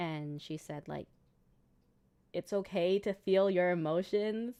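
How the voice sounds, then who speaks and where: Over a silent background in a very clean recording, a woman speaks with a fairly low pitch and a dark, mellow tone. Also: ordinary pitch variation. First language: Cantonese. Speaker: gaming streamer. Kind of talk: casual chat. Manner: halting.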